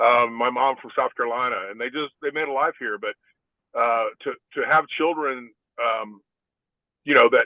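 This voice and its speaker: Speaking at a moderate pace with a Texan accent, a man leaves long, frequent pauses and shows big swings in loudness. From Texas, San Antonio. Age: 60s. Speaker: former NFL player. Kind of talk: podcast interview. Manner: halting.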